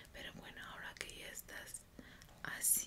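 A woman whispers in a gentle tone at a fairly slow pace. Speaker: ASMR creator. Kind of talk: ASMR guided relaxation for sleep. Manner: whispered, soft, gentle, slow. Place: home room. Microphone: studio mic.

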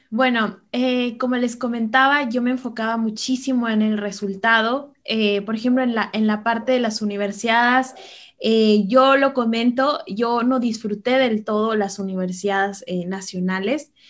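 A plain, everyday voice moves at a fairly slow pace, with fairly even intonation and hardly any pauses. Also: woman, fairly high pitch for a woman. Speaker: chess master and coach. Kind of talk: interview with chess game analysis.

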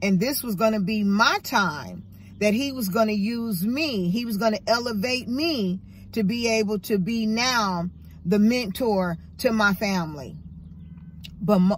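A woman speaks fairly slowly in a somewhat breathy voice with ordinary pitch variation. The sound is dry with no echo, over light background noise. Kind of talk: casual vlog chat, motivational. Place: car. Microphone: phone near.

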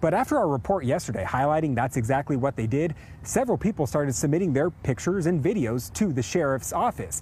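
Over light background noise, a man races at a very fast pace with hardly any pauses, very wide pitch swings and vocal fry, the sound dry with no echo. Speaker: TV news reporter. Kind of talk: live news report. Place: street. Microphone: lapel.

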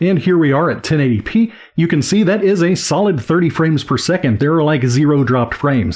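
A man speaks at a fairly quick pace with lively intonation. The background is quiet. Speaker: teacher tech reviewer. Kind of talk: product review commentary. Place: home room. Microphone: studio mic.

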